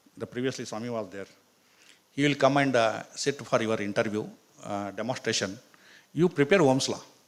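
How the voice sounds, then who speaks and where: A man with a medium pitch speaks at a fairly quick pace, using ordinary pitch variation. Long, frequent pauses break up his speech, and his loudness swings widely. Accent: Karnataka. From India, Karnataka. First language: Kannada. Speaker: professor. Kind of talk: motivational talk.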